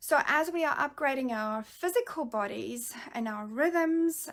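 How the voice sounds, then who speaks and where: A woman talks with lively intonation. The recording is very clean, with a silent background. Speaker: spiritual mentor. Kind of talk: channeled spiritual message. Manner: halting.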